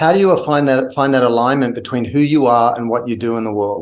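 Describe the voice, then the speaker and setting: A man at medium pitch with an Australian accent, talking at a very fast pace. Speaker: brand consultant and author. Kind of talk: podcast interview. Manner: animated.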